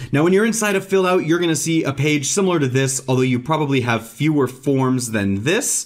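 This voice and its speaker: A man's voice over a quiet background. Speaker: software tutorial host. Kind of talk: tutorial. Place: home room.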